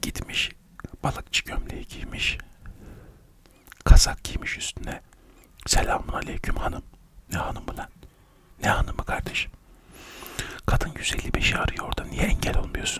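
Whispering at a moderate pace, a man leaves long, frequent pauses, his loudness swinging widely. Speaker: comic storyteller. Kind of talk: comedic monologue to camera. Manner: soft close-mic ASMR murmur. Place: home room. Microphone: studio mic.

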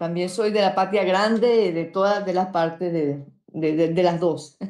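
Over music in the background, a woman speaks at a fairly slow pace with audible room echo. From Venezuela. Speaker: YouTuber. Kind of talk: panel discussion.

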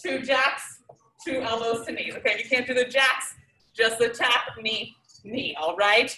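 A raised, projected voice carries ordinary pitch variation against audible room echo. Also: woman. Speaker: fitness instructor. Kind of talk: workout instruction. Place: gym. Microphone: camera far.

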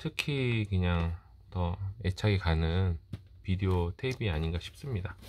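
A man's very deep, low voice at a fairly slow pace, with ordinary pitch variation and light background noise. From South Korea. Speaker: collector YouTuber. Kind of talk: show-and-tell monologue; casual vlog chat. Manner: halting, many fillers. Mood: calm, reflective, nostalgic. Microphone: phone near.

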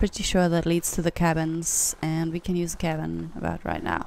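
This woman talks at a moderate pace. She has a non-native accent. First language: not English. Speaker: gaming YouTuber. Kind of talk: casual gameplay commentary.

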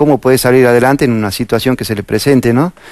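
The sound is dry with no echo, and the background is quiet. A man speaks with fairly even intonation. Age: 50s. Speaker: firefighter, police fire brigade officer. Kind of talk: interview. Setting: studio. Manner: calm. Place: studio. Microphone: lapel.

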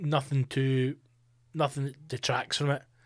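In an Edinburgh accent, a man speaks with an animated tone. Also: quiet background. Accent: Scottish (Edinburgh). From Scotland. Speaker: comedian and podcast host; comedian, podcast host. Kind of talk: casual solo monologue. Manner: animated, sweary. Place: studio. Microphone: studio mic.

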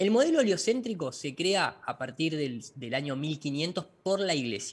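A man's somewhat breathy voice carries lively intonation. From Argentina, La Plata; Argentina. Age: 40s. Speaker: flat-earth lecturer, visual effects director; flat-earth lecturer. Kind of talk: interview. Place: home room. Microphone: video call.

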